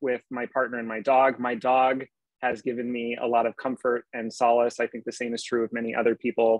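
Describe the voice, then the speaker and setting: A man at a fairly quick pace, dry sound with no echo and a quiet background. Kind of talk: lecture. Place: home room. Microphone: earbuds.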